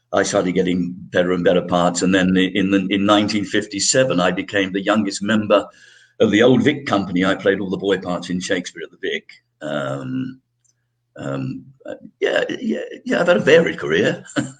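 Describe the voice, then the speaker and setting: A man's fairly low voice in a British RP accent, with lively intonation. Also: moderate pace. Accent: British RP-leaning, trained elocution. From London, England. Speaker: actor. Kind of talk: interview. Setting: live broadcast. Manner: halting.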